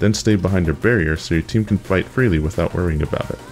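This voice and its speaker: Lively intonation rides over music in the background. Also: man. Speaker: gamer. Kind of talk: game strategy tips narration.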